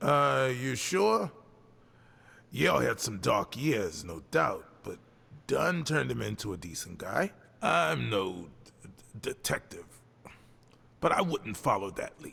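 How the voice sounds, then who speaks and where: Putting on a gruff character voice, a man speaks at a medium pitch and a fairly slow pace, with big swings in loudness and long, frequent pauses. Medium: video game. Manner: gruff, stammering.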